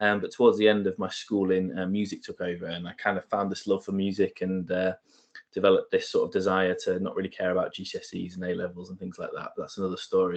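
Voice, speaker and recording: Very fast speech with big swings in loudness. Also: man. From Lincoln, England (family from northeast England). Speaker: guest speaker, marketing professional. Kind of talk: talk to university society.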